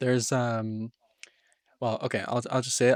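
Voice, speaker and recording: Monotone, flat delivery at a moderate pace. The recording is very clean, with a silent background. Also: man. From Scotland (Edinburgh area, moved to Canada 2008). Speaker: podcast guest. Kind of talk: casual chat.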